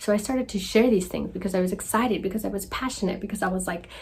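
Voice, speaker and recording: Her voice is somewhat breathy and fairly high-pitched, and this woman shows ordinary pitch variation. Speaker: healing coach. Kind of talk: casual vlog monologue. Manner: quiet, soft-spoken; animated.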